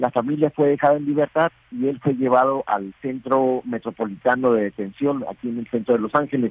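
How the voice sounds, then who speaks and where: Using a plain, everyday voice, a man talks at a medium pitch and a fairly quick pace. He takes hardly any pauses. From Mexicali, Baja California, Mexico. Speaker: newspaper editor. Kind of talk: news interview. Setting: phone or video call.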